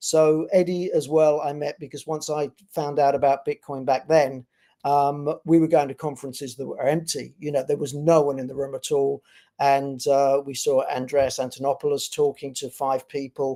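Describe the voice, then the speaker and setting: In a British accent, a man speaks at a moderate pace with a fairly high pitch, a dark, mellow tone and monotone, flat intonation. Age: 60s. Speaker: bitcoin company executive. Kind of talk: interview. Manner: halting.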